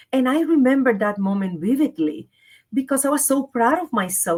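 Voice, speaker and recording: A woman with a Spanish accent speaks at a moderate pace. Her fairly high pitch moves in very wide swings. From Puerto Rico. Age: 50s. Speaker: leadership and wellness coach. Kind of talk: interview.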